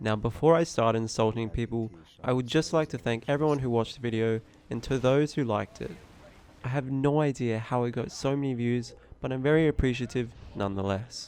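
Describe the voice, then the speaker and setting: At a fairly quick pace, a man uses a plain, everyday voice of medium pitch with ordinary pitch variation. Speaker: gaming commentator. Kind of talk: unscripted gaming commentary.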